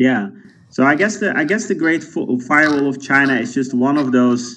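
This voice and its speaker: A man speaks with a Dutch accent. His pace is moderate. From Netherlands. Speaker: sociologist. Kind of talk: interview. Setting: video call. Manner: halting. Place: home room. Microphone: video call.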